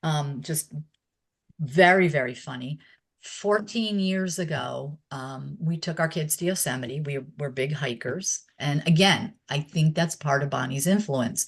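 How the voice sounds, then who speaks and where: Somewhat breathy, the voice proceeds fairly slowly. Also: woman, very deep, low pitch for a woman, ordinary pitch variation. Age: 60s. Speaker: former exercise instructor and myotherapist. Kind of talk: interview. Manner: hesitant, many filler words.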